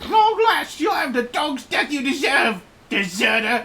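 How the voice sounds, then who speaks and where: A put-on character voice, pitched high and swinging very widely up and down. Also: moderate pace. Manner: gruff, growling; menacing, threatening.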